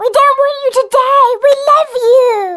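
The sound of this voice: This is a squeaky, put-on character voice pitched extremely high. Its delivery is fairly slow.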